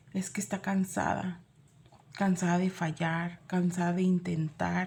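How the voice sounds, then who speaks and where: Her dark, mellow tone somewhat breathy, a woman speaks slowly-ish, at a fairly slow pace, with a medium pitch and monotone, flat intonation. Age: 40s. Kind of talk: sermon.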